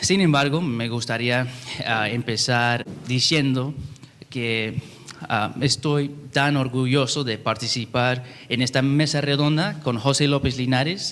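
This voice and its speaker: A man speaks at a very slow pace with medium pitch and fairly even intonation over noticeable background noise. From California. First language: English (speaking Spanish). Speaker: YouTube translator, panel speaker. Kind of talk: panel talk. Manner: halting, many fillers.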